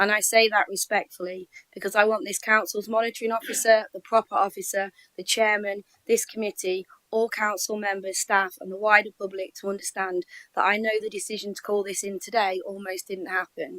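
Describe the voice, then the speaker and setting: Fairly quick and medium-pitched, a woman speaks with fairly even intonation and big swings in loudness. Her tone is bright and sharp, and the sound is dry and close with no echo. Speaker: local councillor. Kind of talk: formal committee address. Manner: formal.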